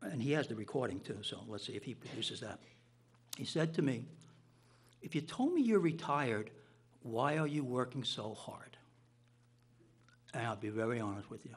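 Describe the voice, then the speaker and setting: Moderate pace with long, frequent pauses, ordinary pitch variation, a somewhat breathy quality and an American accent. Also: man, medium pitch for a man. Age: 60s. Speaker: town official. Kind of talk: public meeting statement.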